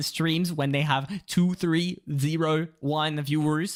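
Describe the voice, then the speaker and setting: A French accent at a fairly slow pace, in a very clean recording with a silent background. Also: man. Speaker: streamer. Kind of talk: casual chat. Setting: live stream. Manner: code-switching English and French with many fillers.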